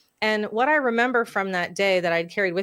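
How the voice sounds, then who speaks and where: A woman's ordinary speaking voice at a fairly quick pace with ordinary pitch variation. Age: 40s. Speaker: podcast host. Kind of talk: casual chat.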